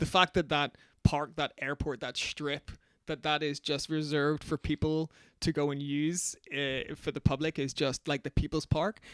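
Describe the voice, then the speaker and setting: In a Northern Irish accent, a man speaks at a moderate pace in a fairly high, monotone voice with flat intonation, in a very clean recording with a silent background and dry, close sound with no echo. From Northern Ireland, Belfast. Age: 40s. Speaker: magazine founder and DJ. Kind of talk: casual interview chat.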